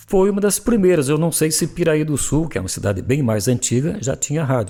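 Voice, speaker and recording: This man's voice sits fairly high in pitch, with a dark, mellow tone. His pitch swings very widely. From Telêmaco Borba area, Paraná, Brazil. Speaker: journalist and radio broadcaster. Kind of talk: interview answer, reminiscing.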